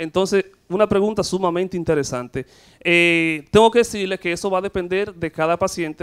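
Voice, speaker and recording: A man speaks at a moderate pace in a high voice. His intonation is fairly even, and the background is quiet. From Dominican Republic. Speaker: gynecologist. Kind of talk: TV interview. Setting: studio. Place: studio. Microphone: handheld.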